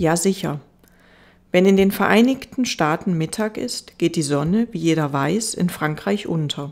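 A woman speaks in a normal speaking voice at a fairly low pitch and a fairly slow pace. Her intonation is lively. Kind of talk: audiobook reading aloud, bedtime story narration. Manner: slow, soft, gentle and soothing; wistful, melancholic storytelling tone.

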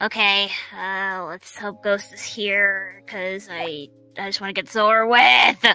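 A put-on character voice, female-sounding at a middle pitch, at a very slow pace with faint music in the background. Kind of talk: roleplay monologue. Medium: machinima. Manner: swearing, agitated. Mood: frustrated.

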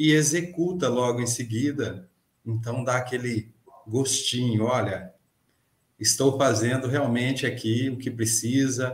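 Audible room echo around a man, somewhat breathy, at a fairly slow pace. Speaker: podcast guest, mechanics teacher. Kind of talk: interview answer. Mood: friendly, smiling. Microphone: webcam.

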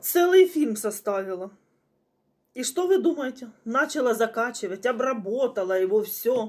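A woman's pitch swings very widely as she talks at a fairly slow pace in a quiet background. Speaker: home vlogger. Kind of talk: casual vlog chat. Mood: chatty, slightly indignant. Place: home room. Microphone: phone near.

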